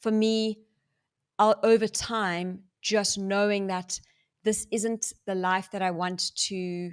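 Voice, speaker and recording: A woman's monotone, flat delivery on a very clean recording with a silent background. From South Africa. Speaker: former doctor turned neuroscience coach. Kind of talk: interview testimony.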